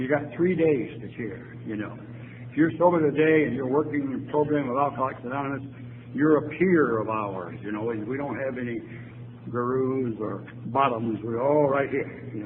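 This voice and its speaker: Audible room echo surrounds a man speaking at a moderate pace in a medium pitch with ordinary pitch variation. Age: 80s+. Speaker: AA speaker, retired lawyer. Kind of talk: recovery talk to audience.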